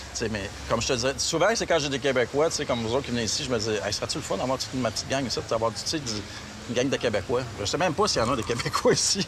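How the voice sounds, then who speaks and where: Very fast speech with ordinary pitch variation runs over noticeable background noise. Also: man, medium pitch for a man. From Quebec. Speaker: travel agency owner. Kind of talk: casual interview. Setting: outdoors in the city. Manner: halting, searches for words.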